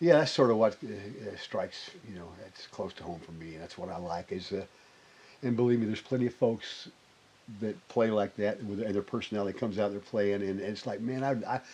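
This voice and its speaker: Someone with a Southern US accent talks with big swings in loudness and ordinary pitch variation. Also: man, fairly low pitch for a man, fairly quick pace. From Arkansas (Springdale). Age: 60s. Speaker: bass player. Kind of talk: interview conversation. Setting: recording studio. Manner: halting, many false starts.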